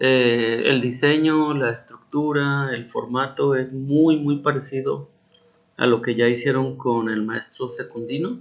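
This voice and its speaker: With a Mexican accent, a man speaks very slowly at medium pitch with fairly even intonation. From Mexico. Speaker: university teacher. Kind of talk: recorded instructional explanation. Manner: casual, hesitant with fillers.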